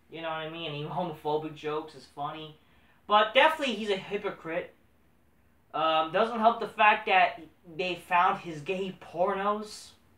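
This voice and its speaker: With audible room echo around him, a man speaks in a bright, sharp tone with ordinary pitch variation. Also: moderate pace, big swings in loudness. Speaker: wrestling commentary vlogger. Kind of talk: casual solo commentary. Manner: rambling, profane, halting. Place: home room. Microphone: camera far.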